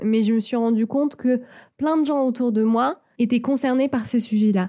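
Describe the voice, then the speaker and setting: On a very clean recording with a silent background, a woman with a dark, mellow tone speaks at a moderate pace with ordinary pitch variation. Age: 20s. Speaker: podcaster. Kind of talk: solo podcast monologue. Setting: home studio.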